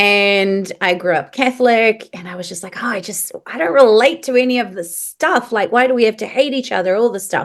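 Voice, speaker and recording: With a New Zealand accent, a woman talks at a fairly quick pace with hardly any pauses. Her pitch is fairly high and varies an ordinary amount. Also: big swings in loudness. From New Zealand (moved from Paris at nine). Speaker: medium. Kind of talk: podcast interview.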